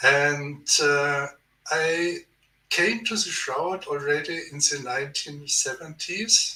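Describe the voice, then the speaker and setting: Speaking very slowly with a German accent, a man uses a fairly high pitch and ordinary pitch variation. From Germany. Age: 70s. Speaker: theologian. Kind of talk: podcast interview. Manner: halting.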